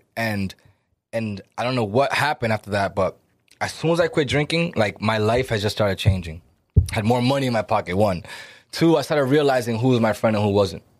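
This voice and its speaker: A man talks in a normal speaking voice at medium pitch, with lively intonation and a fairly quick pace. The recording is very clean, with a silent background. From Dominican community, US. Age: 30s. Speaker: music artist and producer. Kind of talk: casual chat. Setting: studio.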